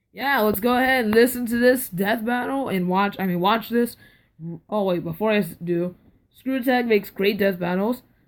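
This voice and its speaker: A woman speaks with a fairly high pitch and ordinary pitch variation. The recording is very clean, with a silent background. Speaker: YouTube reaction video creator. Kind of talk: casual vlog reaction commentary. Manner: loud, deliberately raised volume; hesitant, filler words.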